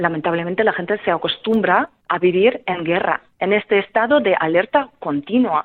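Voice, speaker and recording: With a Ukrainian accent, a woman talks at a moderate pace and medium pitch, her intonation lively and her speech carrying hardly any pauses. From central Ukraine, Kremenchuk. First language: Ukrainian (speaking Spanish). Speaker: singer and refugee helper. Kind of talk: radio interview. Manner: hesitant, many fillers.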